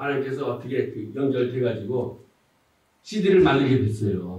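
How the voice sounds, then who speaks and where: A somewhat breathy man with a dark, mellow tone and medium pitch, at a moderate pace, with audible room echo. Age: 60s. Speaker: pastor. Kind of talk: testimony.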